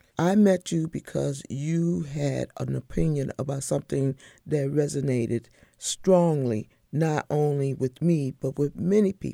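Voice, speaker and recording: A woman with an American accent speaks at a fairly slow pace in a very deep, low pitch and a dark, mellow tone, with ordinary pitch variation, dry and close with no echo, on a very clean recording with a silent background. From Northern Neck of Virginia, Northumberland. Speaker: podcast host. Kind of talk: interview.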